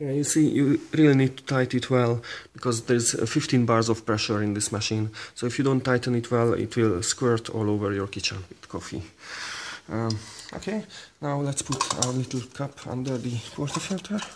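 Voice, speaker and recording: A man speaks at a moderate pace with a Hungarian accent. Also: ordinary pitch variation. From Hungary. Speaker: barista. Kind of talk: tutorial talk to camera. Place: kitchen. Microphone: phone near.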